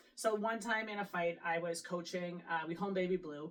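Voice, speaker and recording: Over noticeable background noise, a woman with a Canadian accent talks at a fairly quick pace in a fairly low pitch. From Canada. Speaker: boxing coach and gym owner. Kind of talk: casual chat. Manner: animated.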